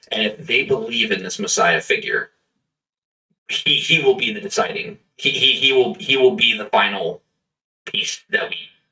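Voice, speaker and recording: A man speaks in a raspy, put-on character voice. His pace is moderate. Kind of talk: in-character roleplay at the table. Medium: actual play. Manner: earnest, halting, repeats words.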